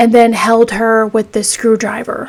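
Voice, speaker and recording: A woman speaks at a fairly high pitch. Her intonation is monotone and flat. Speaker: true crime podcaster. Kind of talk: casual true crime narration. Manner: stuttering, halting when upset.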